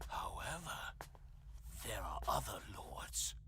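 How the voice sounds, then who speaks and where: A man whispering in a put-on character voice at a fairly slow pace, with clear background noise. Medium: video game. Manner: contemptuous, sneering.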